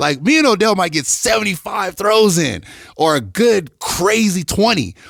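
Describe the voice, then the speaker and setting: An animated tone with very even loudness, set against noticeable background noise. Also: man, high pitch for a man, moderate pace. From Detroit, Michigan, US. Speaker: NFL athletic trainer. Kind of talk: casual chat. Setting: studio.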